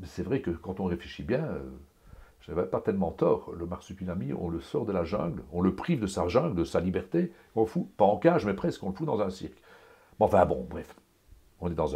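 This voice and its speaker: A man speaks with a very deep, low pitch and a dark, mellow tone. His pace is moderate, with vocal fry. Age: 60s. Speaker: comic book artist. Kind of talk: interview. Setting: home studio. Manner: animated; halting.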